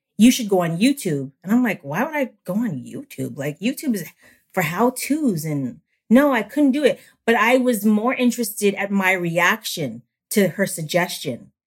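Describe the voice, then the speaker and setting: With vocal fry and an animated tone, a woman at medium pitch speaks at a moderate pace, her pitch swinging very widely. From Canada. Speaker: YouTuber. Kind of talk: casual chat. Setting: video call.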